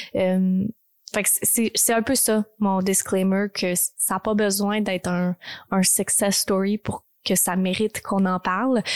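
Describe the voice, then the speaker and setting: A woman talks at a very slow pace in a medium pitch with monotone, flat intonation and very even loudness. The recording is very clean with a silent background and a dry, close sound with no echo. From Texas (born in Quebec, moved at six). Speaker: podcast host. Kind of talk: personal monologue. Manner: hesitant, many fillers.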